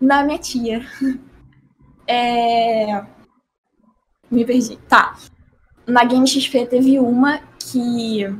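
A woman's high-pitched, monotone voice with flat intonation, very slow pace, and long, frequent pauses. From Rio de Janeiro, Brazil. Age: 20s. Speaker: professional esports player. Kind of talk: casual interview.

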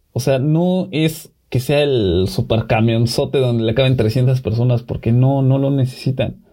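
A man talks at a fairly slow pace and medium pitch, somewhat breathy, with very even loudness and hardly any pauses. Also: ordinary pitch variation. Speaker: podcast co-host. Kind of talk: casual chat.

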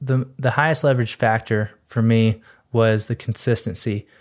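In an American accent, a man with a plain, everyday voice speaks at a moderate pace in a medium pitch with fairly even intonation, on a very clean recording with a silent background. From Texas. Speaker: podcast host being interviewed. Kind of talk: interview, personal story.

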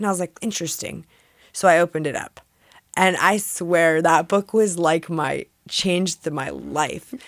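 Her voice sits at a fairly low pitch with vocal fry and ordinary pitch variation as this woman talks at a moderate pace, the sound dry and close with no echo. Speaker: spiritual coach for women. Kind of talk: interview.

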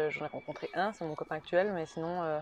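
An unremarkable speaking voice, a woman's, fairly low in pitch with fairly even intonation. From Switzerland, Neuchâtel. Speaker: former student, speech therapy trainee. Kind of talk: interview. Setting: outdoors on a terrace.

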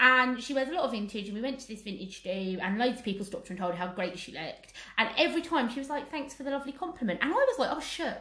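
A woman with an English accent, a high pitch and a raised, projected voice, very fast and animated, with very wide pitch swings, big swings in loudness and hardly any pauses. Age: 30s. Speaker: podcast co-host. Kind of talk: casual chat.

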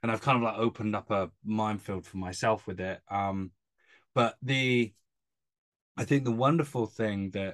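A moderate pace with ordinary pitch variation, in a British accent. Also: man. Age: 30s. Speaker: podcast host, strength coach. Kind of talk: casual interview chat.

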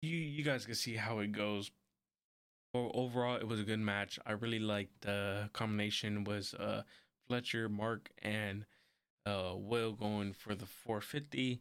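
A man with a fairly low pitch speaks quietly at a fairly slow pace, his intonation fairly even and his loudness very even. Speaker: wrestling podcast host. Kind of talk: solo podcast review. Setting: home recording with camera and mic. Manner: quiet, subdued; casual, rambling.

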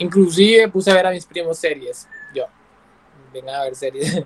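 High-pitched man on a dry, close recording with no echo, noticeable background noise behind him. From Colombia, San Andrés islands. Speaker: content creator. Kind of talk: casual chat. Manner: animated.

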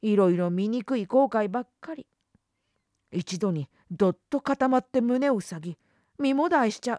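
A woman with a fairly high pitch and a dark, mellow tone talks at a fairly slow pace with very wide pitch swings and long, frequent pauses, in a dry, close sound with no echo. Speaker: audiobook narrator. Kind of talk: literary audiobook reading, first-person monologue of a schoolgirl. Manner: slow, reflective, intimate, with wry sulking tone and mood shifts.

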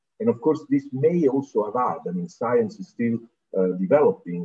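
This is a man speaking. He has an Italian accent. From southern Italy, Naples. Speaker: UN environment official. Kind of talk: interview.

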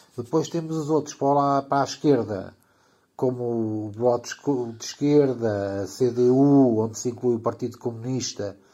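This man has a dark, mellow tone at a medium pitch. He talks at a fairly slow pace with ordinary pitch variation. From Portugal. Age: 50s. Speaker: teacher of electricity and electronics. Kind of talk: explanatory casual chat. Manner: halting, with fillers.

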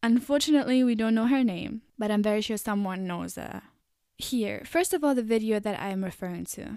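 Recorded very cleanly against a silent background, a woman speaks at a fairly quick pace. Her fairly high voice has a dark, mellow tone and ordinary pitch variation. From Germany. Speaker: podcast host. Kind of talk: monologue talk.

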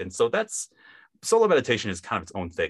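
A man talks with a Midwestern US accent. Behind him the background is quiet. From US Midwest, Wisconsin. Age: 20s. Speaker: hypnotist.

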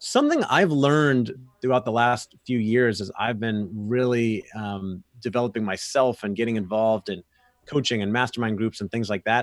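In an American accent, a man with a plain, everyday voice talks at a moderate pace and medium pitch, the sound dry and close with no echo. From Florida. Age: 30s. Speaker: sales consultant and podcast host. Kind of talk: casual interview.

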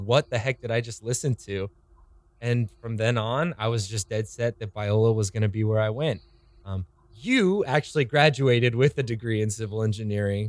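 An unremarkable speaking voice moves at a moderate pace with ordinary pitch variation, in a dry, close sound with no echo. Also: man. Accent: American. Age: 20s. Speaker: podcast host, church worship staff. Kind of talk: casual chat.

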